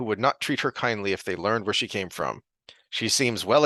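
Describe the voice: Against a quiet background, the pitch varies in an ordinary way during plain reading aloud.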